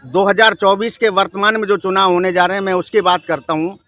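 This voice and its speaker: A man projects his raised voice at a high pitch. The sound is dry and close, with no echo. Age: 60s. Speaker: member of the public interviewed on the street. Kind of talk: street interview, political opinion. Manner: animated.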